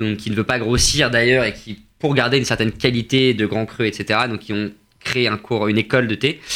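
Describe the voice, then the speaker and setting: A man's plain, everyday voice at a medium pitch, with fairly even intonation and a fairly quick pace. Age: 20s. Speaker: tea company co-founder. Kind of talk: radio interview.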